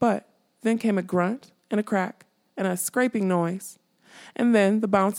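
Someone is reading aloud in a natural voice. The background stays quiet.

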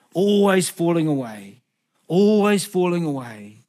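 A man is speaking. He has a New Zealand accent. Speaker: guest preacher. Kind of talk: sermon. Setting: church.

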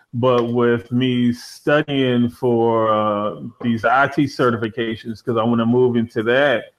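A man with an American accent and a normal speaking voice talks at a medium pitch and a fairly slow pace, with fairly even intonation and hardly any pauses. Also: very even loudness. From Washington DC area. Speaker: animator and gamer. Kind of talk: casual chat.

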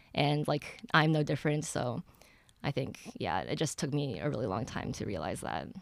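A woman speaks with an American accent and vocal fry. Her pitch is very deep and low, and her intonation is lively. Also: moderate pace, very clean recording, silent background. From US Midwest, Ann Arbor, Michigan. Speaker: college student sharing mental health story. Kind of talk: personal testimony.

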